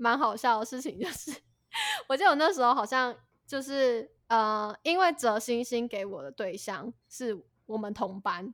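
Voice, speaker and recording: A woman with an ordinary speaking voice talks at a moderate pace, fairly high in pitch and lively in intonation. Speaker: podcast co-host. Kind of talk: casual chat.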